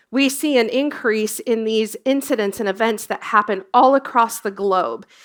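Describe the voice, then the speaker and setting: In an ordinary speaking voice with an American accent, a woman talks at a moderate pace, her pitch fairly high with ordinary variation. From US, Colorado. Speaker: emergency services industry executive, former dispatcher. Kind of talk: conference presentation.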